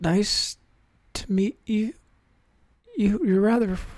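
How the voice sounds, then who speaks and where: A man puts on a raspy, high-pitched character voice. He delivers it at a fairly slow pace. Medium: actual play.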